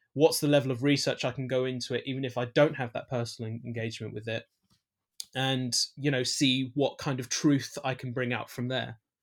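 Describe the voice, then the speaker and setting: Flat and monotone, the speaker talks in a London accent at a fairly quick pace on a very clean recording with a silent background. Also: man, medium pitch for a man. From East London, England. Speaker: filmmaker. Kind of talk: interview. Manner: halting, many fillers and restarts.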